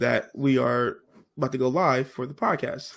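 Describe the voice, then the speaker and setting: In a very clean recording with a silent background, a man speaks in an animated tone with vocal fry and ordinary pitch variation. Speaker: podcast co-host. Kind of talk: casual chat.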